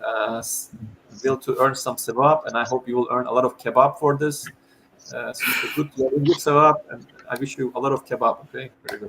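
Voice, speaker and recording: With a Turkish accent, a man at a medium pitch speaks with fairly even intonation and big swings in loudness. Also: fairly quick pace. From Turkey. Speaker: chess educator. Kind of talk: online talk Q&A.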